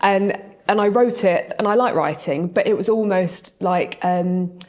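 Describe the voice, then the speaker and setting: Over noticeable background noise, a woman speaks at a medium pitch. Her pitch varies in an ordinary way. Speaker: property training company director. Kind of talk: podcast interview. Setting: live event before audience. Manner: fast.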